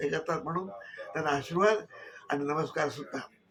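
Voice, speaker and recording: Music plays in the background as a man with a fairly high pitch talks with ordinary pitch variation. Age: 80s+. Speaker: Marathi literary activist. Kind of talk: testimonial to camera.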